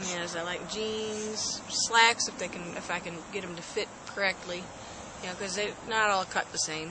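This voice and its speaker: A soft-spoken woman talks at a medium pitch and a moderate pace, her intonation fairly even. Noticeable background noise runs under her voice. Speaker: host's wife. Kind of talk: casual chat.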